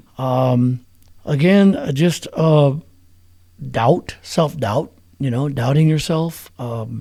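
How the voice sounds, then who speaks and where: Speaking with an American accent, a man has a fairly high pitch, a dark, mellow tone and ordinary pitch variation. His pace is very slow, with long, frequent pauses. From New Mexico. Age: 60s. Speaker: musician. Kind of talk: interview. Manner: casual.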